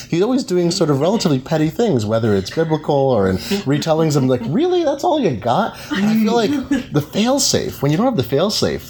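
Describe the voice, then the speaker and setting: Over noticeable background noise, a man talks at a fairly quick pace with hardly any pauses and very even loudness. His fairly high pitch moves in very wide swings. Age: 40s. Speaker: technology reporter and interviewer. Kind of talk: live interview. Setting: live event at a bookstore cafe.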